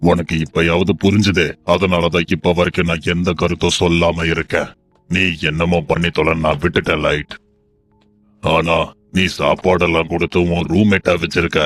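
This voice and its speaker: A man uses a put-on character voice. It sits very deep and low in pitch and moves at a fairly slow pace. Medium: fan dub. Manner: detached.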